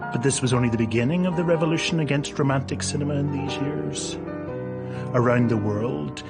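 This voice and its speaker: A man speaks in a Northern Irish accent. Music plays in the background. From Northern Ireland. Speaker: film critic. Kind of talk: documentary narration.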